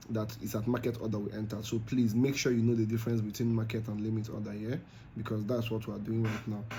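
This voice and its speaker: A man with a Nigerian accent speaks very fast in a flat monotone, and audible room echo surrounds his voice. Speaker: crypto trading youtuber. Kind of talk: trading tutorial. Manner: casual with fillers.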